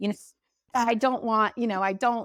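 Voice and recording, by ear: A woman's fairly high, fairly bright voice at a moderate pace with fairly even intonation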